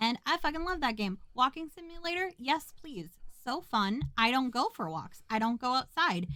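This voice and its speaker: In a raised, projected voice with an American accent, a woman speaks at a high pitch with a bright, sharp tone and very wide pitch swings. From US Midwest, rural Minnesota. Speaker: podcast co-host. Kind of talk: casual chat. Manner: fast.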